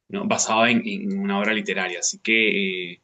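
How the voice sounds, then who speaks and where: A man speaks in a Peruvian accent at a moderate pace. His intonation is lively. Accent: Peruvian Spanish (Lima). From Peru, Lima. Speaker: book club member. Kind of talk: book club discussion.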